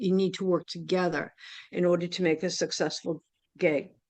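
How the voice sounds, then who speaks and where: With a quiet background, a woman talks at a moderate pace in a medium pitch and a normal speaking voice. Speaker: music booking agent and musician. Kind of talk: workshop lecture. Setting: workshop with live audience.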